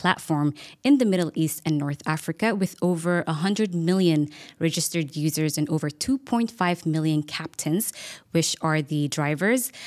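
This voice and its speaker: On a very clean recording with a silent background, a woman with a plain, everyday voice speaks at a moderate pace, fairly low in pitch with ordinary pitch variation. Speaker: podcast host. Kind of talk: interview podcast.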